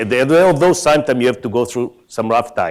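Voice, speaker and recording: A man with an Israeli accent speaks at medium pitch with lively intonation. The recording is very clean, its background silent. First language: Hebrew. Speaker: tech company executive. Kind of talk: conference keynote talk.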